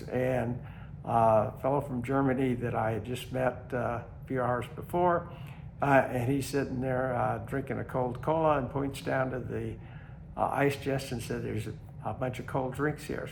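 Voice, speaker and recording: A man speaks with vocal fry. His intonation stays fairly even. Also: medium pitch for a man, moderate pace. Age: 80s+. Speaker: long-distance hiker. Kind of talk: casual talk to camera. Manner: hesitant, many fillers.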